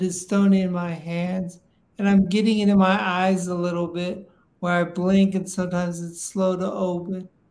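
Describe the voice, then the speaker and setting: In a high voice with monotone, flat intonation, a man speaks at a fairly slow pace. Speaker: Parkinson's patient, retired biotech executive; guest. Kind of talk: interview conversation. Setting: video call / live stream. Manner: halting, many fillers and repetitions. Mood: candid, reflective. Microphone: video call.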